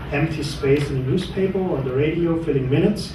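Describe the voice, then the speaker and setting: At a moderate pace, a man with a fairly high pitch speaks amid noticeable background noise and audible room echo. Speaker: PR consultant for startups. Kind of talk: conference talk and interview.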